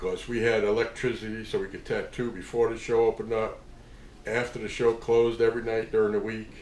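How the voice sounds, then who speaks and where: A man speaks at a fairly quick pace. Audible room echo surrounds his voice. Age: 60s. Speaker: tattoo artist. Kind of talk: casual storytelling monologue. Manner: halting, many fillers.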